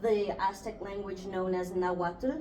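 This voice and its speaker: A woman with a Spanish accent at a fairly slow pace, monotone, flat intonation, noticeable background noise and audible room echo. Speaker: student podcast host. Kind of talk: casual chat.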